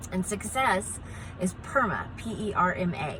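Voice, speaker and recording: Over noticeable background noise, a woman speaks in an animated tone with ordinary pitch variation. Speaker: positive psychologist. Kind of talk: educational talk to camera.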